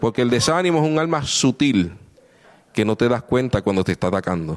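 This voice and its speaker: A man speaks at a moderate pace and a medium pitch, his voice swinging very widely up and down. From Puerto Rico. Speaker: visiting preacher. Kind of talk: sermon. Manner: animated.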